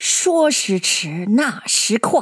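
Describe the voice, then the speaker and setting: A woman's voice rises and falls in very wide pitch swings. The sound is dry and close, with no echo. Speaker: podcast host reading a classic novel aloud. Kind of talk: reading aloud. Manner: narrates dialogue without imitating old men's voices.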